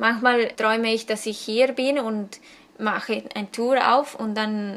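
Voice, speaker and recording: Delivered at a moderate pace with fairly even intonation, the voice carries an Argentine accent. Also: woman. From Argentina. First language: Spanish (speaking German). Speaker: author and illustrator. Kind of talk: interview. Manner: halting.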